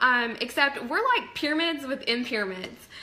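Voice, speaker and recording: A woman raises and projects her high-pitched voice in an animated tone with lively intonation, amid noticeable background noise. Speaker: network marketing fitness coach. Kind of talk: live stream talk to viewers. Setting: live video stream from home office.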